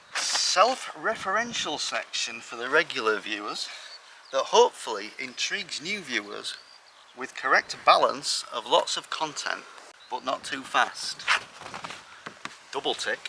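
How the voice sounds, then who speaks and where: A man with an English accent speaks at a fairly slow pace with long, frequent pauses. His loudness swings widely, with noticeable background noise behind him. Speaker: allotment gardener, video creator. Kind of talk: casual vlog tour. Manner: mumbling at times.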